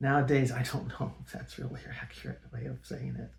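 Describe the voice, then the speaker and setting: A man speaks with a Californian accent. He keeps a moderate pace. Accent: General American (Californian). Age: 60s. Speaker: personal storyteller. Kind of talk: personal testimony. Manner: halting, many fillers. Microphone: poor original audio, amplified in edit.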